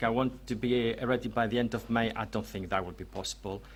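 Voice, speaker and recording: A man speaks with a strong Greek accent. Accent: heavy Greek. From Greece. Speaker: researcher and author. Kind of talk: presentation to audience. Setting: venue with live audience. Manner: hesitant, many fillers.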